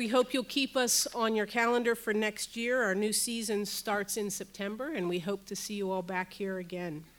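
With a plain, everyday voice, a woman talks at a moderate pace with a fairly high pitch, ordinary pitch variation and hardly any pauses. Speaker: university professor and center director. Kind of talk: welcome and speaker introduction. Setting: stage with audience.

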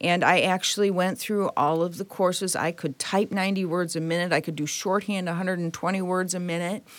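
A woman talks in a Midwestern American accent at a fairly quick pace and medium pitch. Her intonation is monotone and flat, with hardly any pauses. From Detroit, Michigan. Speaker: automotive engineering executive. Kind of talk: interview.

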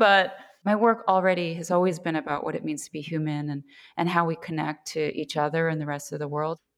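A woman with an American accent uses a normal speaking voice, fairly low in pitch, moving at a fairly quick pace with ordinary pitch variation. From US, New York. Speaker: paper artist. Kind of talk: casual chat.

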